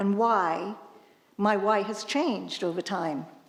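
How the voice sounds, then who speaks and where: A woman pitched fairly high uses lively intonation amid noticeable background noise. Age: 70s. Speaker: trail runner. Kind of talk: storytelling. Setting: stage with audience.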